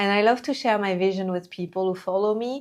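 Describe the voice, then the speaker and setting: On a very clean recording with a silent background, a woman in a French accent talks at a moderate pace and medium pitch. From France. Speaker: entrepreneur and coach. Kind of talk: talking-head video monologue.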